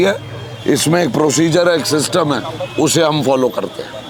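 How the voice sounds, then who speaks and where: Crowd noise in the background and audible room echo frame a man's voice. He speaks at a fairly high pitch and a moderate pace, with ordinary pitch variation. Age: 60s. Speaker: politician. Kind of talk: interview. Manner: animated.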